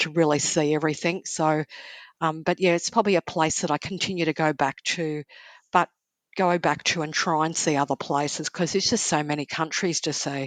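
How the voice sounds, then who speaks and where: A woman speaks at a fairly quick pace with an Australian accent and a very deep, low pitch. Her intonation is fairly even, and the background is quiet. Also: dry, close sound with no echo. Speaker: travel author. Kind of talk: casual chat.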